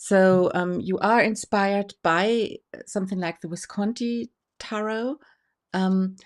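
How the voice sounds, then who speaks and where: In a German accent with ordinary pitch variation, the speaker comes through on a very clean recording with a silent background. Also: woman. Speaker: tarot association host. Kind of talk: interview. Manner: halting.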